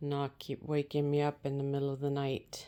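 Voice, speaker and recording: Soft-spoken and calm in tone, the voice is dark and mellow at a fairly slow pace, on a very clean recording with a silent background. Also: woman. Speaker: multi-cat owner and channel host. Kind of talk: soft-spoken ASMR vlog talking to cats while preparing their food. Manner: soft-spoken, calm, casual.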